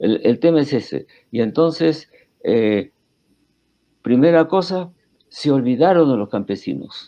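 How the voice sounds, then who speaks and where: A fairly high-pitched man with a dark, mellow tone, at a fairly slow pace, with long, frequent pauses. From Peru. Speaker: historian. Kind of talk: interview. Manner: halting, many fillers and restarts.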